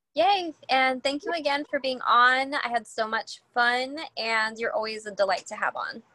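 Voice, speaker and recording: The voice is raised and projected, with a bright, sharp tone and lively intonation. It moves at a moderate pace with hardly any pauses. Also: woman, high pitch for a woman. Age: 30s. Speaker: podcast host and mindset coach. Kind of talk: casual chat.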